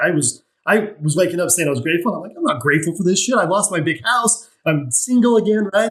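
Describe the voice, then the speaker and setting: A man with an American accent talks at a very fast pace. His intonation is lively. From Utah, US. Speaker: mindset coach and financial planner. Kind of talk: podcast interview.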